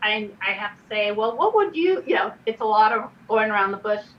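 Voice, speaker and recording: A woman speaks at a very fast pace, her pitch fairly high with ordinary variation. Noticeable background noise sits behind her. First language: not English. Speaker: redistricting commissioner. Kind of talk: public meeting discussion.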